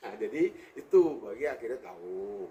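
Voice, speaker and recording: Pitch swings very widely throughout. A somewhat breathy quality runs through the voice. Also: man. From West Sumatra (Pariaman area, Minangkabau). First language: Minangkabau (speaking Indonesian). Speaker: bus company owner. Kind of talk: interview. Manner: halting.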